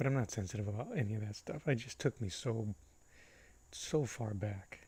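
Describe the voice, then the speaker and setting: Somewhat breathy, a man talks at a moderate pace in a dark, mellow tone. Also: medium pitch for a man, ordinary pitch variation. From US Northeast, Boston, Puerto Rican family. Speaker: painting livestreamer. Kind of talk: casual livestream chat. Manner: casual.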